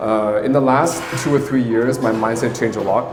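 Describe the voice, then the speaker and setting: Speaking at a fairly quick pace, a man with a medium pitch keeps a fairly even intonation amid audible room echo and noticeable background noise. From Thailand. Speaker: marketing agency co-founder. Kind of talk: panel discussion.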